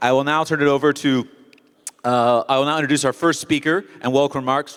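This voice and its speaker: Over music in the background, a man with an American accent speaks in a fairly high voice with fairly even intonation. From United States. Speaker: event host. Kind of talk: opening speech. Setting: stage with audience. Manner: fast.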